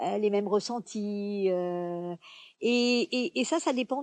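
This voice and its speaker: A woman with a medium pitch and a dark, mellow tone speaks at a fairly slow pace with ordinary pitch variation. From France. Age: 70s. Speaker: performer with a one-woman show. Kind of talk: interview. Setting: outdoors.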